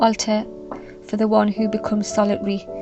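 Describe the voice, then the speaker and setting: Music plays behind a woman's voice. Her intonation is flat and monotone. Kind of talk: literary reading aloud of a classic letter, calm and reflective. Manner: calm, soft, ASMR-style delivery.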